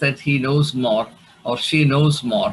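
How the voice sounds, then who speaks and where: A man with a Keralan accent. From India, Kerala. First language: Malayalam. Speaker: theologian and academic. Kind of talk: lecture. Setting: video call. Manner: halting.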